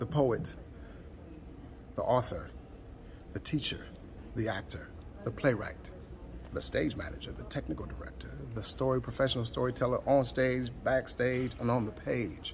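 A man talks at a moderate pace with long, frequent pauses. Light background noise runs underneath. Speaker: performance poet. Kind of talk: spoken word poetry event promo. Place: stage. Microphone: phone near.

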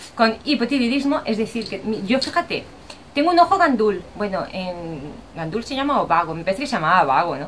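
With very wide pitch swings, a woman speaks at a fairly quick pace over light background noise. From Spain. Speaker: vlogger. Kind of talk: casual vlog talk to camera. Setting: outdoors. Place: home room. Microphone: webcam.

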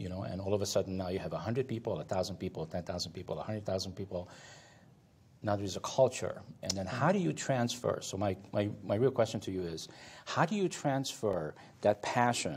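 A man speaks very fast, his voice somewhat breathy. Long pauses come often. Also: ordinary pitch variation. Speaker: talk show host and moderator. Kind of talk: interview. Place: studio. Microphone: lapel.

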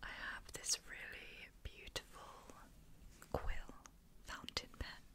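Whispering at a very slow pace, a woman speaks in a gentle tone. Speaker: ASMR creator. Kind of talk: whispered ASMR video. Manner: soft, gentle, whispered. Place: home room.

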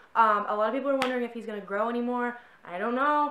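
A woman's voice with audible room echo. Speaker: horse vlogger. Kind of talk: casual vlog chat. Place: home room. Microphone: camera far.

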